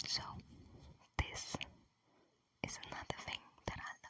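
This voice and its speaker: Whispering in a gentle tone at a fairly slow pace. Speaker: ASMR creator. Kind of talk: ASMR whispering and rambling. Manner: whispered, gentle.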